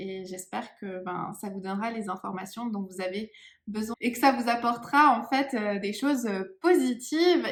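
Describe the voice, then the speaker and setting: At a moderate pace, a woman talks with a fairly high pitch and lively intonation. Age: 30s. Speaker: psychic medium. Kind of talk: channeling session. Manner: hesitant, many fillers.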